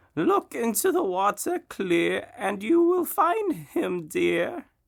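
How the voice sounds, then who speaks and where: A man talks in a put-on character voice. It sits at an extremely high pitch and moves at a very slow pace. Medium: read story. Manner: cryptic, riddling.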